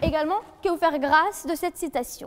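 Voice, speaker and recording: A woman speaks at a fairly slow pace. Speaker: law student, eloquence contestant. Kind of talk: competitive oratory speech. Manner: formal, rhetorical.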